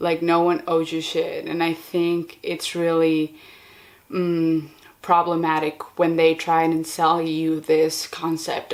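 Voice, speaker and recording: Speaking at a very slow pace, a woman with a non-native accent uses a fairly low pitch and monotone, flat intonation. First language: not English. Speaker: podcaster and video creator. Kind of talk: casual monologue. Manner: casual with many fillers.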